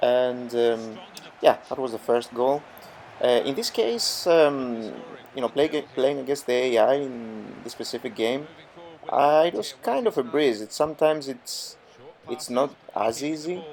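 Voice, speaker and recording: A man speaks at a fairly slow pace and medium pitch, with ordinary pitch variation. He pauses long and often. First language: not English. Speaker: gaming youtuber. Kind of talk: gameplay commentary tutorial. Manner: hesitant, many fillers.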